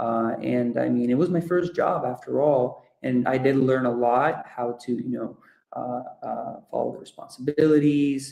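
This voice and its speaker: A man talks at a moderate pace with fairly even intonation. His tone is dark and mellow. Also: medium pitch for a man. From Ecuador. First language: Russian or Spanish. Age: 20s. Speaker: project management professional. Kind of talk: guest talk at online webinar. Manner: hesitant, many fillers.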